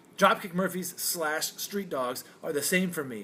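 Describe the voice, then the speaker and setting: A loud man, high-pitched, with lively intonation, a fairly slow pace and a bright, sharp tone. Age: 40s. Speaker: podcast host. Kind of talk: casual chat. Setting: martini bar. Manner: animated.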